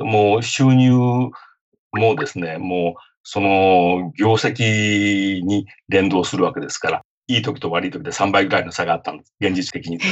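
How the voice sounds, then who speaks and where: A man with a plain, everyday voice, fairly low in pitch, at a moderate pace with big swings in loudness. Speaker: lawyer and author. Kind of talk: interview.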